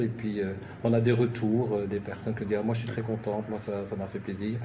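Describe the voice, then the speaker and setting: Very fast and monotone, a man speaks at a medium pitch with flat intonation and audible room echo. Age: 60s. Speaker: nurse and gardening enthusiast. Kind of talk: interview. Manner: halting.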